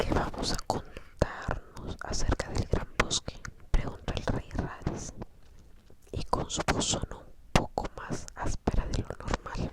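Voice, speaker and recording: A very slow whisper amid noticeable background noise. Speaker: audiobook reader. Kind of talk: ASMR whispered book reading. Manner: whispered.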